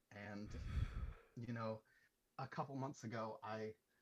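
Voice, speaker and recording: A man speaks at a moderate pace and medium pitch, somewhat breathy and shaky. His intonation is fairly even. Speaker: viewer of a trading livestream. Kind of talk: heartfelt testimony. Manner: shaky, emotional.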